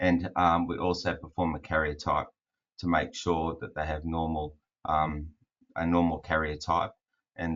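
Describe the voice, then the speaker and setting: Very deep and low, a man's voice with an Australian accent stays monotone and flat at a moderate pace. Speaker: fertility specialist doctor. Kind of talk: webinar presentation. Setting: online webinar.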